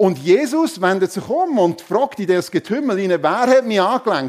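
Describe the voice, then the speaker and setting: The speaker's animated tone carries very wide pitch swings at a moderate pace. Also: man. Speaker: preacher. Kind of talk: sermon in church, conversational and warm. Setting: church with congregation. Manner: animated, humorous, conversational; rhetorical questions to the congregation.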